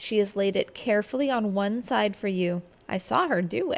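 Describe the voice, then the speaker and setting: This is an ordinary speaking voice at a fairly quick pace. The intonation is lively. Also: woman. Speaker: teacher reading aloud. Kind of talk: audiobook reading of a classic novel.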